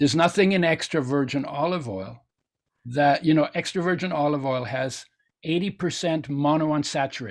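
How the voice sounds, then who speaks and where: A man in a German accent talks at a moderate pace with a fairly high pitch. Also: ordinary pitch variation, very clean recording, silent background. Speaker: nutrition expert and oil company founder. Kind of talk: interview.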